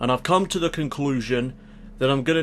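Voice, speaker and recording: A man speaks with ordinary pitch variation in a plain, everyday voice. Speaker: YouTuber, video game wrestling commentator. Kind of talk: channel update monologue.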